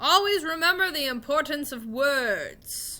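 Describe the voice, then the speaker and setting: Here a woman does a put-on character voice with a high pitch. Her intonation is lively and her pace fairly slow. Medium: read story. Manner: grand, emphatic, shouting.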